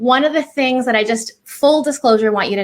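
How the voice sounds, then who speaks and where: A woman with a Californian accent, an animated tone and ordinary pitch variation. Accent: Californian American. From California, US. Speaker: clinical psychologist. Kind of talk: presentation.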